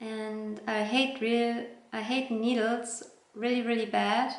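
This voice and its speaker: Over noticeable background noise and audible room echo, a woman with a non-native accent speaks at a fairly high pitch with fairly even intonation. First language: not English. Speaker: vlogger. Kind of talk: personal storytelling. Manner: hesitant, with fillers.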